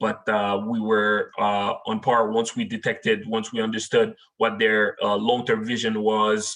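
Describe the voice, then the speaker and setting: In a Haitian accent, a man speaks at a fairly slow pace with hardly any pauses, his medium-pitched voice monotone and flat. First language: French and Haitian Creole. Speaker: technology manager. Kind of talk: webinar presentation. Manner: frequent filler words.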